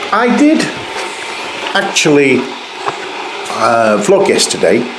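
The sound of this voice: A man speaks at a slow pace with audible room echo.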